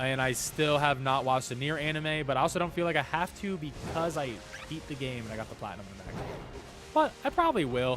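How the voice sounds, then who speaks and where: Music in the background behind a man's very fast, fairly high voice with ordinary pitch variation. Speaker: gaming streamer. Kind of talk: live stream chat. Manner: casual, rambling.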